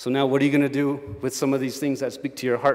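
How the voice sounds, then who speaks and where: A man of medium pitch with an American accent. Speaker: chef. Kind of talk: keynote speech. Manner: animated.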